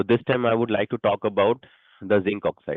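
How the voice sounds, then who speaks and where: With an Indian accent, a man speaks at a fairly quick pace. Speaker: stock market presenter. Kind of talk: investment presentation. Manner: halting.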